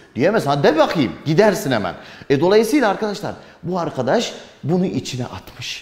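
A man's high-pitched, animated voice with very wide pitch swings, moderate pace and audible room echo. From Turkey. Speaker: history teacher for exam prep. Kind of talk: lecture. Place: classroom.

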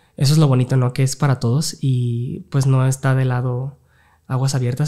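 Against a quiet background, a man talks fairly quickly in a somewhat breathy voice with a dark, mellow tone and fairly even intonation. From Mexico. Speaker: open water swimmer; guest. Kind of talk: casual interview. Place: studio. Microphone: studio mic.

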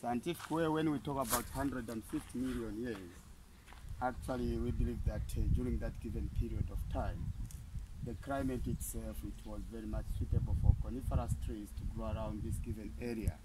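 A man talks at a fairly quick pace in a medium pitch. His tone is dark and mellow, with fairly even intonation.

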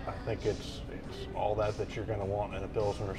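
A man speaks fairly quickly while clear music plays behind him. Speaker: beer review host. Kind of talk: casual review chat. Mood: relaxed, cheerful. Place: bar. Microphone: lapel.

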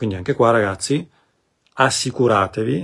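A man with a fairly low pitch speaks with ordinary pitch variation and a somewhat breathy quality. The background is quiet. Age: 40s. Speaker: spiritual coach. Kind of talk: live stream talk. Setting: live video stream. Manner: halting. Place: home room. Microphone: phone near.

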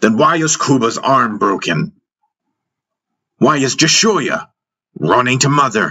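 A man uses a put-on character voice, bright and sharp with a slightly husky edge, at medium pitch. He speaks slowly, with big pitch swings.

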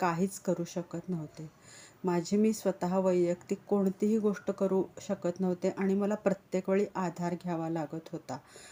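A woman talks at a medium pitch in a dark, mellow tone. Her intonation stays monotone and flat. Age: 50s. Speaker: patient. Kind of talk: testimony. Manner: halting.

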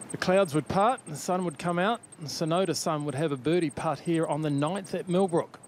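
A man's high-pitched voice at a moderate pace, with ordinary pitch variation, hardly any pauses and noticeable background noise. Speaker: golf commentator. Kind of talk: live golf commentary over highlights. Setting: voiceover on highlight reel.

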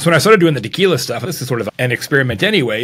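A man speaks with a General American accent and lively intonation. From US, Arizona. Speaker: keynote speaker and marketing author; keynote speaker. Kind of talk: casual interview. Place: home room.

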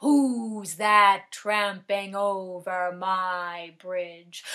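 Very slowly, a put-on character voice that sounds female speaks at a medium pitch.

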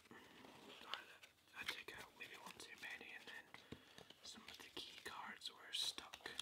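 Someone whispers in a relaxed tone. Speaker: ASMR creator. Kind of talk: ASMR soft-spoken chat while playing a card game. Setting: home recording setup with microphone. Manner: soft-spoken, relaxed. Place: home room.

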